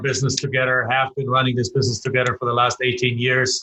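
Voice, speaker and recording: Medium in pitch, a man with a German accent has a bright, sharp tone. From Germany. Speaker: real estate investor and educator. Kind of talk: podcast interview.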